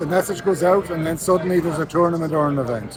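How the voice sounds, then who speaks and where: A man with an Irish accent speaks very fast in a high voice. Noticeable background noise sits behind him. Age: 60s. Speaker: sports association president. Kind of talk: interview.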